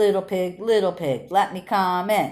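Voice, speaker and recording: This female-sounding voice is a put-on character at a middle pitch, captured in a very clean recording with a silent background. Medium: read story. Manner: huffing, menacing.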